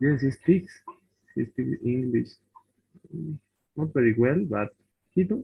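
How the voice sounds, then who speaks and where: Speaking at a medium pitch with a Bolivian accent, a man talks at a fairly slow pace. His speech has long, frequent pauses. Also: lively intonation. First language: Spanish. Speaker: language student. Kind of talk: casual chat in English class. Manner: halting.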